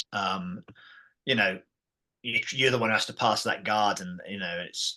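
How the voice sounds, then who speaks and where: His delivery is fairly quick. The man has an English accent. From England. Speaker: martial arts system founder. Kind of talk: podcast interview.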